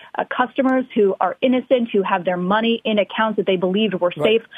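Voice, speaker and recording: Medium-pitched woman with ordinary pitch variation and a plain, everyday voice. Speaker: Washington correspondent. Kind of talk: live news report. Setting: remote live shot.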